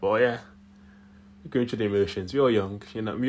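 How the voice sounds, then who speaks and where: A man's fairly low voice with an American accent and ordinary pitch variation. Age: young. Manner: reflective, conversational.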